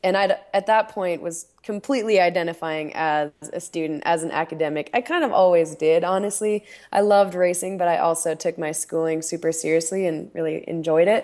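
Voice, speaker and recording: Here a woman speaks at a fairly quick pace. Her intonation stays fairly even. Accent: American. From Utah, US. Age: 20s. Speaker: professional skier. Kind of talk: casual chat. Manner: relaxed.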